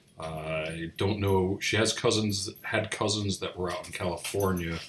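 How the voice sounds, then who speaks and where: A man speaks at a fairly slow pace with a very deep, low pitch and a somewhat breathy voice. His intonation stays fairly even while his loudness swings widely. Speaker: grandchild of a Holocaust survivor, channel host. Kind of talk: casual commentary to camera.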